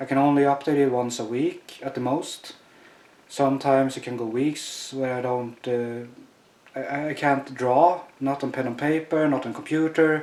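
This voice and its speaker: There is noticeable background noise behind this man. He talks at a moderate pace in a fairly high voice with fairly even intonation. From Sweden. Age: 30s. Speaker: chronic pain patient. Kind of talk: testimony. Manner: halting, many fillers.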